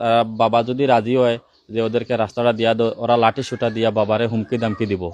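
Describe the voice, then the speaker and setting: A man speaks with a Sylheti accent. His pitch sits in the medium range. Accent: Sylheti-accented Bengali. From Bangladesh, Sylhet region (Kulaura, Moulvibazar). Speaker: local resident with a complaint. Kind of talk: statement to the press.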